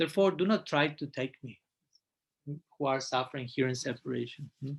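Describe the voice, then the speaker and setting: A man with a fairly high pitch talks at a fairly quick pace, somewhat breathy, with ordinary pitch variation. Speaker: monk and spiritual teacher. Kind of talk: lecture. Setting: live class, also streamed online. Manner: fast; halting.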